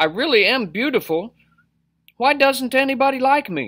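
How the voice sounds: Pitched extremely high, a man's put-on character voice has a fairly bright tone, lively intonation and a moderate pace.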